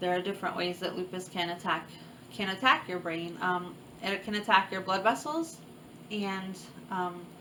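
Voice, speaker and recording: Woman's medium-pitched voice over noticeable background noise. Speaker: chronic illness vlogger. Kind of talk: personal testimony vlog. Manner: occasional stutter; halting, many fillers.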